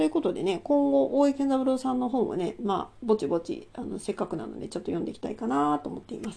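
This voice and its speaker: Talking at a very fast pace with hardly any pauses, a woman at medium pitch shows very wide pitch swings, big swings in loudness and vocal fry. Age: 40s. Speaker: solo channel host. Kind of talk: casual monologue about a book. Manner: hesitant, many fillers.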